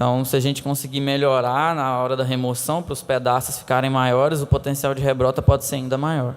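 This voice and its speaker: Speaking at a fairly quick pace with hardly any pauses, a man keeps a monotone, flat intonation at a medium pitch. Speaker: conference presenter. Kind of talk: conference Q&A. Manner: halting.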